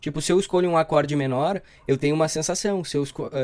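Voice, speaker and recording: Ordinary pitch variation from a man, in a very clean recording with a silent background. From southern Brazil, Rio Grande do Sul. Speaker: theatre student and actor. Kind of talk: casual chat.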